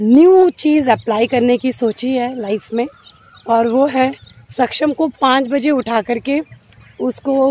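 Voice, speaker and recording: Over light background noise, a woman talks at a very slow pace in a high voice with ordinary pitch variation, the sound dry with no echo. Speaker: mother vlogger. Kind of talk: casual vlog chat. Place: open country. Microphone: phone near.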